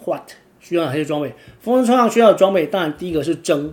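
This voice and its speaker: His intonation is lively. This man's voice sits fairly high in pitch. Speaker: podcast host and kitesurfer. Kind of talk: casual monologue. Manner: filler-heavy, frequent 'o' particles.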